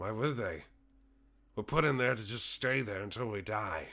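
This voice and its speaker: Putting on a raspy character voice, a man talks at a medium pitch and moderate pace in a very clean recording with a silent background. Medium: actual play. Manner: grumbling, cranky.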